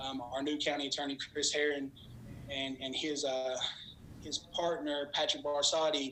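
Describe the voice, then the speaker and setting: Noticeable background noise sits behind a man's voice. He speaks at a fairly high pitch with monotone, flat intonation. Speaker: treatment program director. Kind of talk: public presentation. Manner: fast.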